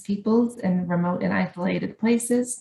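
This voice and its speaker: A somewhat breathy woman with a Canadian accent, medium in pitch and fairly slow in pace. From Canada. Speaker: education academic. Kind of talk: conference talk. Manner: hesitant with fillers.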